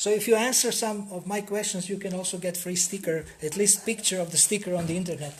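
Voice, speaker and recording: Noticeable background noise sits behind a man talking at a very fast pace. His high pitch holds fairly even intonation. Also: hardly any pauses. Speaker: spiritual seminar teacher. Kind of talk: seminar talk.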